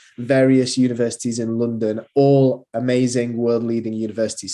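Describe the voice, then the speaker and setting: A man speaks in a strong Manchester accent at a moderate pace. His tone is dark and mellow, over a quiet background. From northern England, Manchester. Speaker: university recruitment manager. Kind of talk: presentation. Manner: hesitant, many fillers.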